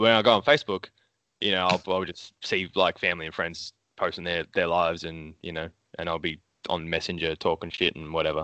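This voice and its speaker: A man is speaking. He has an Australian accent. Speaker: comic book artist. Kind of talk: casual chat. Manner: casual, swears often.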